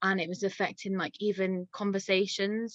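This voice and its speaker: Speaking at a moderate pace, a woman with an English accent uses a medium pitch. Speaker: dog walker. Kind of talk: casual chat. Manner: halting.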